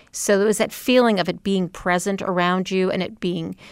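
A woman speaks at medium pitch in an ordinary speaking voice with fairly even intonation. The recording is very clean with a silent background. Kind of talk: panel discussion. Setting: stage with audience.

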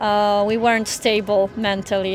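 A woman speaks with a Ukrainian accent. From Ukraine (Odesa). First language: Ukrainian or Russian. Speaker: teacher. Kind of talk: interview.

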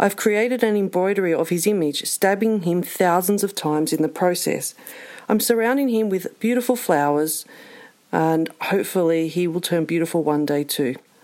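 With an Australian accent, a woman talks at a moderate pace, keeping her loudness very even and her pitch variation ordinary. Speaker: listener contributor. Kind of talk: recorded listener story.

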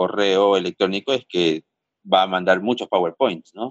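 This man's voice sits at a fairly low pitch. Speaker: interviewee, son. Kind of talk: interview. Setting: phone call. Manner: halting, repeats words.

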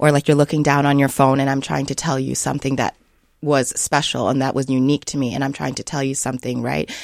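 Very fast speech comes in a monotone, flat intonation with vocal fry. The recording is very clean with a silent background. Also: woman, very deep, low pitch for a woman. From Sioux Falls, South Dakota. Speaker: children's book author and early childhood educator. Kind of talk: radio interview. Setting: studio.

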